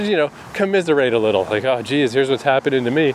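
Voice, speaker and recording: A man at a medium pitch talks over noticeable background noise. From New Brunswick, Canada. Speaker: travel podcaster. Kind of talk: solo casual monologue. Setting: travelling in Montreal.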